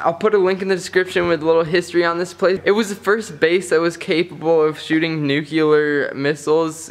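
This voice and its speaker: The voice moves at a fairly quick pace with hardly any pauses. Its loudness is very even, and its intonation is fairly even. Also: man. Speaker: urban explorer vlogger. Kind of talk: casual vlog chat. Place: factory. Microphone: phone near.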